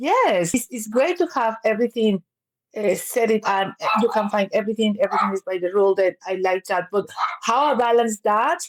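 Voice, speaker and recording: A woman with a Spanish accent talks at a fairly quick pace in a fairly high pitch. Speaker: counsellor and business owner. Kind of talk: interview conversation.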